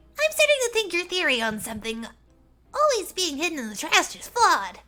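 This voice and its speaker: Putting on a squeaky character voice at an extremely high pitch, a woman speaks at a fairly quick pace with big swings in loudness. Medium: game stream. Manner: upbeat, friendly.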